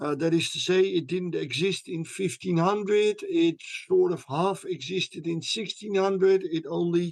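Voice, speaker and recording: Speaking fairly slowly, a man uses a high voice with ordinary pitch variation. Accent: Dutch. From Netherlands. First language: Dutch. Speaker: history professor. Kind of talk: interview.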